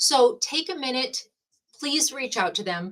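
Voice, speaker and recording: Very wide pitch swings mark a woman's animated tone. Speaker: shop hop event organizer. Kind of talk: live-streamed prize drawing explanation. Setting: live stream from a room with prize buckets. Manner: animated, talks with her hands.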